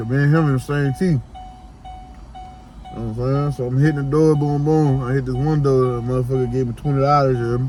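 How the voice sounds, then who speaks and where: With music in the background, a man with a New Orleans accent talks at a very fast pace in a medium pitch, broken by long, frequent pauses. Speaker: vlogger, door-to-door salesman. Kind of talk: casual vlog monologue. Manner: animated, repetitive fillers.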